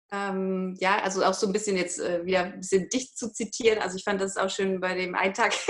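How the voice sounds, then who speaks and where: Over noticeable background noise, the voice moves at a fairly quick pace in a flat monotone with hardly any pauses. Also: woman, medium pitch for a woman. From northern Germany, Hamburg. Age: 30s. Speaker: online course participant. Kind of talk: interview testimony. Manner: halting, many filler sounds.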